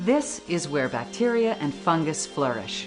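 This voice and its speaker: Over music in the background, a woman's pitch swings very widely. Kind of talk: infomercial narration.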